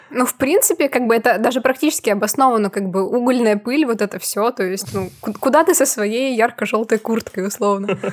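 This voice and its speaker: Against noticeable background noise, a woman with a fairly high pitch and ordinary pitch variation talks at a fairly quick pace with hardly any pauses. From Prokopyevsk, Kemerovo region, Russia. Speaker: podcast co-host, photographer. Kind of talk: casual chat.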